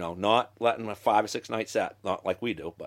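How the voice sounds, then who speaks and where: The speaker is a man at a fairly quick pace. His intonation is lively. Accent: Maine. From Maine. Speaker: lobsterman. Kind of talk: casual conversation.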